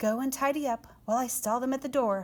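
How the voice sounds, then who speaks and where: A woman puts on a squeaky character voice, pitched high and rattled off at a very fast pace with fairly even intonation. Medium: read story.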